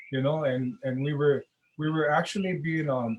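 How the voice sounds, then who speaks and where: At a fairly quick pace, a man with a fairly high, somewhat breathy voice keeps his intonation fairly even. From Hawaii (Kona, raised partly in Honolulu). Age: old. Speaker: Hawaiian rights activist. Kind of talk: interview conversation. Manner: halting, many repeated words.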